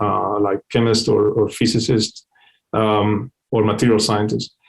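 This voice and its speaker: A man talks at a fairly slow pace with a non-native accent. His pitch is medium. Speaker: company CEO and scientist giving a webinar talk. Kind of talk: technical webinar lecture. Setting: online webinar. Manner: hesitant, many fillers and repetitions.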